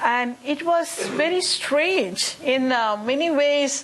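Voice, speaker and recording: Over noticeable background noise, a woman with a high pitch talks at a very slow pace. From India, Chennai. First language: Tamil. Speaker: musician. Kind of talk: panel discussion. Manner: animated.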